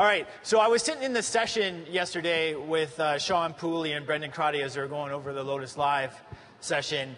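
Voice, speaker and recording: With noticeable background noise and audible room echo, a man with a Canadian accent talks at a fairly quick pace in a fairly high pitch with ordinary variation. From Canada. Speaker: tech conference presenter. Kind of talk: conference presentation.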